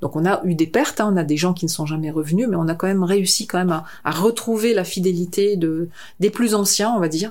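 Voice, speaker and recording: A woman talks at a fairly quick pace with medium pitch. Her pitch variation is ordinary. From northern France. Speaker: concert venue director. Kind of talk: interview. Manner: halting.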